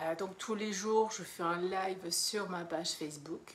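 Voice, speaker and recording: Speaking at a very slow pace, a woman keeps a medium pitch and fairly even intonation. Audible room echo and noticeable background noise surround her voice. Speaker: mentor for women, online coach. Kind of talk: live stream monologue, self-promotion. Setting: live video. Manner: hesitant, many fillers.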